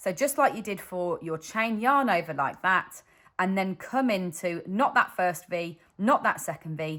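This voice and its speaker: With a British accent, a woman speaks at a fairly slow pace in a bright, sharp tone and lively intonation. The recording is very clean, with a silent background. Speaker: crochet designer and teacher. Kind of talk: tutorial. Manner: slow, step-by-step.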